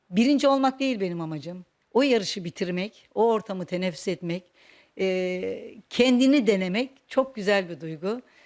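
The recording is very clean, its background silent. A woman talks at medium pitch and a moderate pace. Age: 60s. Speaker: retired teacher and folk dance instructor. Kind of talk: personal interview monologue. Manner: hesitant, with frequent fillers.

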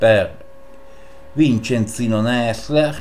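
A man speaks over light background noise. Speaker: chess YouTuber. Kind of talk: chess game commentary. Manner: animated. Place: home room. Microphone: voice slightly quieter after mic settings change; webcam.

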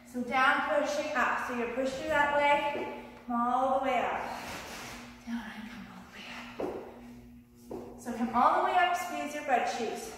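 Over light background noise and strong room echo, a woman speaks at a high pitch with ordinary pitch variation. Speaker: fitness instructor. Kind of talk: tutorial. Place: garage. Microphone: camera far.

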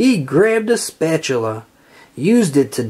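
An unforced reading voice delivers the text.

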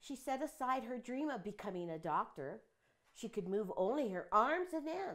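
Against a quiet background, a woman's high voice carries a gentle tone and very wide pitch swings. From New Mexico. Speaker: retired teacher and painter. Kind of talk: reading a children's picture book aloud to young listeners in a storytelling style. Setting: home art studio. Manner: warm, steady, unhurried read-aloud pacing; gentle, conversational, with some hesitations. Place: home room. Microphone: camera far.

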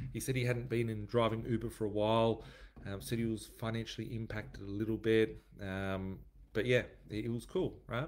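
With ordinary pitch variation, a man moves at a fairly quick pace. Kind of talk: casual vlog chat. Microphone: webcam.

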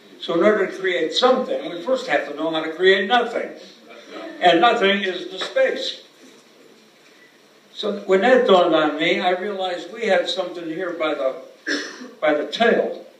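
Over noticeable background noise, a high-pitched man talks at a moderate pace with ordinary pitch variation, big swings in loudness, and long, frequent pauses. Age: 80s+. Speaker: actor, improv performer, author. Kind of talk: award acceptance speech.

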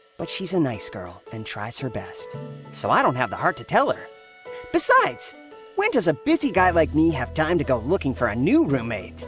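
A cartoonish character voice over clear music in the background. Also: man, medium pitch for a man, moderate pace. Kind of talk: cartoon character narration. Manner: upbeat.

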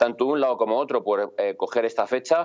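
This is a man speaking. His voice has a medium pitch. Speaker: police officer. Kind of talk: interview. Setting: video call.

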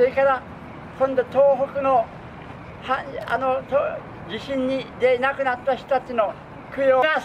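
A man speaks at a fairly slow pace in an extremely high pitch with a monotone, flat intonation. Long, frequent pauses break his speech, and light background noise is audible. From Hakodate, Hokkaido, Japan. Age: 80s+. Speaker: street performer and dancer. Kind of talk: spoken dedication before a street dance performance. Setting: outdoors. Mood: solemn memorial tone. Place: open country.

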